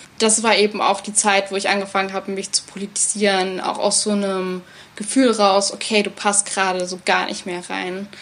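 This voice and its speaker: A woman talks at a mid-range pitch and an even, middling speed, her intonation flat and monotone. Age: 20s. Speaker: theatre educator. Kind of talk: interview conversation.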